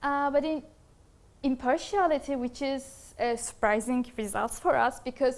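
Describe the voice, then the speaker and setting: With ordinary pitch variation, a woman talks in a high pitch. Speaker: master's student presenting research. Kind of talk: academic presentation. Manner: fast; hesitant, many fillers.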